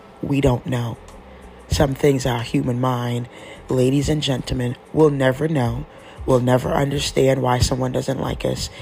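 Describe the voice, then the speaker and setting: Speech moves at a moderate pace while noticeable background noise carries on beneath it. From Trinidad, West Indies. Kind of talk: devotional monologue. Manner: talkative; repetitive, emphatic.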